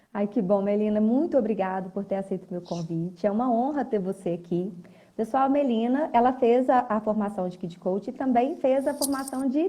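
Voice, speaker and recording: This woman's voice has a dark, mellow tone, somewhat breathy, with fairly high pitch. She talks at a moderate pace with ordinary pitch variation. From Minas Gerais, Brazil. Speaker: teacher and live host. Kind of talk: live interview chat. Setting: live video stream.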